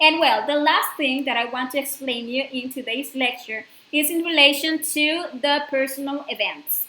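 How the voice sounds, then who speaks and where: A woman with a high pitch uses a raised, projected voice. She keeps a moderate pace with hardly any pauses. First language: not English. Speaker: spiritual course lecturer. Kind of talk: lecture. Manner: halting, with fillers.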